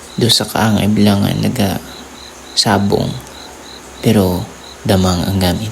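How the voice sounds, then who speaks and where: A man's fairly low voice at a fairly slow pace, flat and monotone, with very even loudness, long and frequent pauses, and noticeable background noise. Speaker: horror storyteller. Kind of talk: spooky first-person ghost story narration, told as a personal experience.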